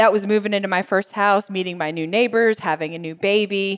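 A woman talks at a fairly quick pace in a medium pitch. Hers is an unremarkable speaking voice with ordinary pitch variation. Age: 40s. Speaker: lifestyle blogger and cook. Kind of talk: casual interview chat.

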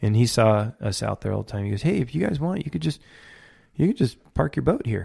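A man with an American accent, medium pitch, a dark, mellow tone, vocal fry, very wide pitch swings and a fairly quick pace. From California, Ventura County. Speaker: fishing guide. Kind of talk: casual interview chat.

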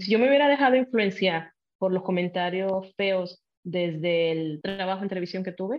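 A woman's voice at medium pitch, fairly quick in pace, with ordinary pitch variation. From Puerto Rico. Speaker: TV journalist. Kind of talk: casual interview chat.

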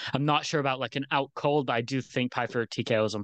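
Against a quiet background, a man with a plain, everyday voice speaks at a fairly high pitch, the sound dry and close with no echo. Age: young. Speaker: MMA betting analyst. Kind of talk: casual chat. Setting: video call.

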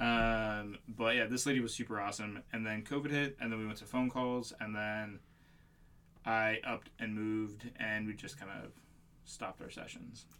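This man has an American accent, a bright, sharp tone and medium pitch, talking at a moderate pace with monotone, flat intonation. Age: 30s. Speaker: podcast co-host. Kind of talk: casual chat.

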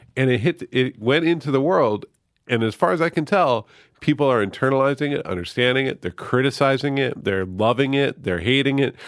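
On a very clean recording with a silent background, a man talks at a fairly quick pace with lively intonation. He has an unremarkable speaking voice at medium pitch. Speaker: author. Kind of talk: casual chat. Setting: studio.

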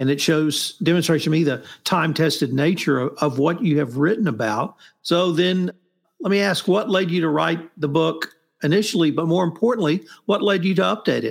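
This man has a plain, everyday voice, pitched fairly high, with ordinary pitch variation, a moderate pace and very even loudness. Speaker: podcast host. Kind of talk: interview, book discussion.

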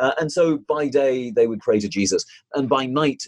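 Recorded with a dry, close sound and no echo, a man with a British accent speaks with ordinary pitch variation. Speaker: author, activist, research professor. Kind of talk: interview answers, discussing a book.

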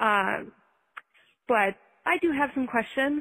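A normal speaking voice from a woman with an American accent, at a fairly slow pace with ordinary pitch variation. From Minnesota. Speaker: listener caller. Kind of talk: recorded voicemail.

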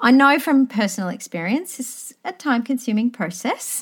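Lively intonation in an Australian accent. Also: woman. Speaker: history teacher and podcaster interviewing. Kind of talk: interview.

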